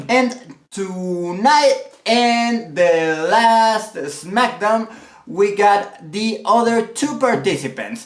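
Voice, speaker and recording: The speaker has a Mexican accent. The pace is very slow. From Mexico. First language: Spanish. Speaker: wrestling commentator. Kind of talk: casual vlog commentary. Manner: halting, many repetitions.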